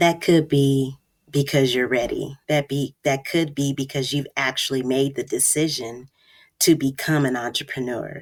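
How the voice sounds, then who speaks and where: Her pitch very deep and low, a woman speaks at a moderate pace in a monotone, flat intonation. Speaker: podcast host and business mentor. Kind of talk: solo podcast monologue. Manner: casual, unscripted with fillers.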